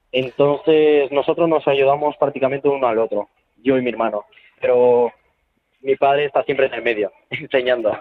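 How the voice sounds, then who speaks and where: At a moderate pace, a man with a fairly high pitch speaks in fairly even intonation. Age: 20s. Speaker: circus trapeze artist. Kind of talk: interview. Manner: halting, repetitive.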